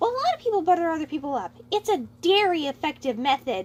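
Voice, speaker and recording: Squeaky put-on character voice from a woman, extremely high-pitched with very wide pitch swings and a very fast pace. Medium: read story. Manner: happy.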